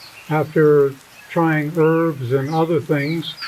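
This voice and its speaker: The voice moves at a very slow pace with fairly even intonation. Noticeable background noise sits behind it. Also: man. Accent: American. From United States. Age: 70s. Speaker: fasting retreat client. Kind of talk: interview. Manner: halting, many fillers.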